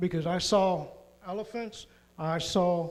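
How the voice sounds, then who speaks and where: A man's high-pitched voice with audible room echo. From Puerto Rico. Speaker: mission trip member. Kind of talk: church presentation testimony.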